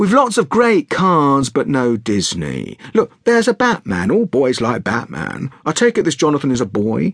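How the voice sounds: A man's put-on character voice, medium in pitch with a slightly husky edge, very wide pitch swings, a moderate pace and few pauses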